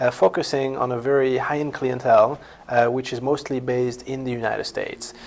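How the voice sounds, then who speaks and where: A man talks with a French accent at medium pitch. His intonation is monotone and flat. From France. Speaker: company founder. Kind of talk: company introduction. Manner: halting, many fillers and repetitions.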